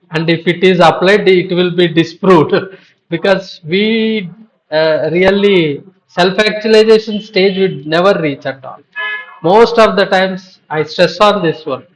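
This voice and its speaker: Over music in the background, a man with a high pitch talks at a fairly slow pace with fairly even intonation. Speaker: professor. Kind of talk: panel discussion.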